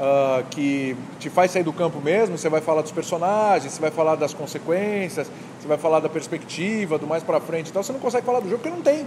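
Over noticeable background noise, a man talks fairly quickly at a fairly high pitch with ordinary pitch variation. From Brazil, Santos (São Paulo state). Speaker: sports journalist and TV presenter. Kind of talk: casual chat. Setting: bar. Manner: animated.

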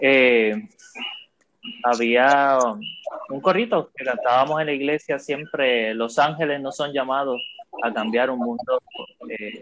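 Fairly high pitch from a man. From Puerto Rico. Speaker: podcast host. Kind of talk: panel discussion.

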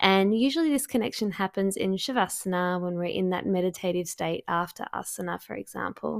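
In a normal speaking voice, a woman talks at a fairly quick pace with hardly any pauses, her medium pitch showing ordinary variation, on a very clean, dry, close recording with no echo and a silent background. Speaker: podcast host and astrologer. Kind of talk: guided meditation.

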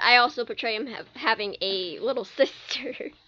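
The intonation is lively, with noticeable background noise throughout. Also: woman. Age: 18. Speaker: host's sister, fan fiction writer. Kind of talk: casual chat. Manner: soft-spoken. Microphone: too quiet, not talking into the mic.

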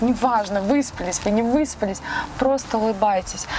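Noticeable background noise sits behind a woman speaking at a fairly high pitch with ordinary pitch variation. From Russia, Saint Petersburg. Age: 30s. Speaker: car owner, fitness blogger. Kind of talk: casual interview. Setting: outdoors and in a car. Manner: animated.

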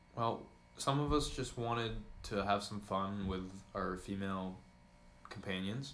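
Amid audible room echo, a man with a fairly low pitch speaks at a fairly slow pace, leaving long, frequent pauses. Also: ordinary pitch variation. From US Northeast, Vermont. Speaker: college student podcast co-host. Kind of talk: casual chat. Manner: animated.

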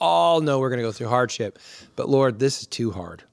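In a very clean recording with a silent background, a man talks at a medium pitch. He has a normal speaking voice with ordinary pitch variation. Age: 50s. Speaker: pastor and podcast host. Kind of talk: casual chat.

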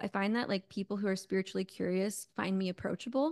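A woman with an American accent has a plain, everyday voice at a medium pitch with ordinary pitch variation, recorded with a dry, close sound with no echo against a quiet background. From New York suburbs and Connecticut. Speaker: spiritual coach and intuitive. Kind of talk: interview conversation.

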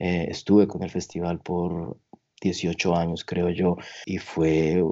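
The man's voice sits at a very deep, low pitch. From Colombia, Tolima. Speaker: concert production manager. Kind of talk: interview.

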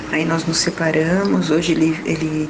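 A woman with a very deep, low pitch speaks at a fairly slow pace and fairly even intonation, with audible room echo and noticeable background noise. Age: 50s. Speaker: listener sharing a relationship problem. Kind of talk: personal testimony.

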